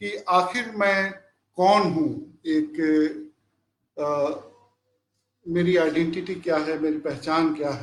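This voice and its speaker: High in pitch, a man speaks with ordinary pitch variation. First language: Bhojpuri (speaking Hindi). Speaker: professor. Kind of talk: lecture. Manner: halting, frequent fillers.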